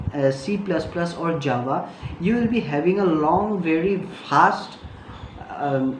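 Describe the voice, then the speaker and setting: A woman with a fairly low voice speaks at a fairly slow pace with lively intonation. Audible room echo and noticeable background noise surround her. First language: not English. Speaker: tech youtuber. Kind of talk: tutorial. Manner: halting, many fillers.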